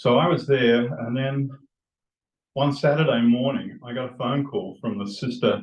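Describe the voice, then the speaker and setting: In an Australian accent, a man speaks at a fairly high pitch with ordinary pitch variation and a somewhat breathy sound. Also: moderate pace. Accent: Australian, still present. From Australia (Western Australia). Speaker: retired doctor. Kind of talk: personal storytelling to a group. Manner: halting, with restarts.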